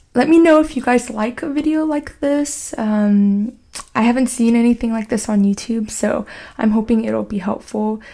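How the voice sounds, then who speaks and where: A woman with an American accent speaks at a moderate pace, her fairly high pitch varying in an ordinary way, in a dark, mellow tone. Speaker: scholarship advice YouTuber, student. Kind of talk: tutorial. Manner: soft-spoken; casual, filler-heavy.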